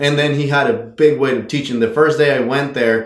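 A man talking at a very fast pace, fairly even intonation, audible room echo. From Mexico. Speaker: horse trainer. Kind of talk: interview.

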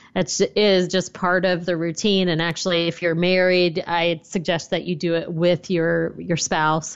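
A woman with an American accent uses a plain, everyday voice at a fairly low pitch and a moderate pace. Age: 40s. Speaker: personal finance blogger and author. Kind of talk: interview.

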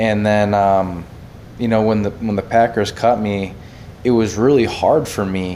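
There is audible room echo as a man speaks with an American accent. His pitch is fairly low, his pace fairly slow, and his intonation fairly even. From central Wisconsin. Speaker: former pro football player. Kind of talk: casual sports chat.

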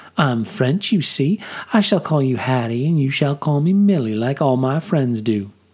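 Lively intonation gives energy to this natural reading voice.

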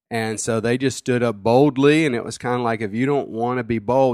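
On a very clean recording with a silent background, a man talks at a moderate pace with fairly even intonation and an ordinary speaking voice. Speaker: pastor. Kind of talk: sermon. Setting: home studio.

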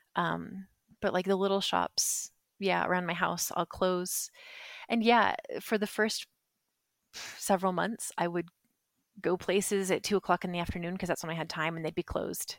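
The sound is dry and close, with no echo. The delivery is monotone and flat, broken by long, frequent pauses. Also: woman, medium pitch for a woman, moderate pace, very clean recording, silent background. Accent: Western US. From US West, southern Utah. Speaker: expat interviewee. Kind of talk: casual interview chat.

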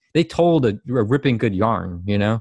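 At a moderate pace and medium pitch, a man speaks with a dry, close sound with no echo on a very clean recording with a silent background. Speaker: fan artist. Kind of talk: casual chat. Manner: halting.

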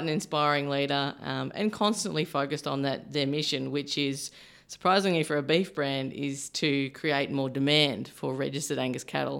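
In a very clean recording with a silent background, a woman with an Australian accent speaks at a moderate pace in a very deep, low pitch with vocal fry. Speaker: beef industry supply chain manager. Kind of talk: podcast interview. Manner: halting, many fillers.

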